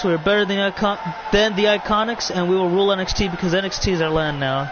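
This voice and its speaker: A man talks at a very fast pace with a high pitch and ordinary pitch variation. Crowd noise fills the background. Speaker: streamer hosting wrestling video game show. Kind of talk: live commentary. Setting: live stream. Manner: halting.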